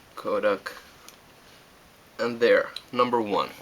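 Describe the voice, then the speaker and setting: A Finnish accent at a very slow pace, with noticeable background noise. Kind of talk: casual how-to demonstration.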